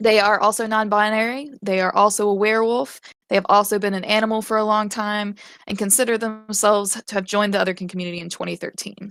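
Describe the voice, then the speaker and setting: A woman with an American accent at medium pitch, very fast and monotone with flat intonation. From US South, Western North Carolina (Appalachia). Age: 20s. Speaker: convention panelist. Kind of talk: live convention panel discussion. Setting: online live stage event with chat. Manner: casual, hesitant with fillers.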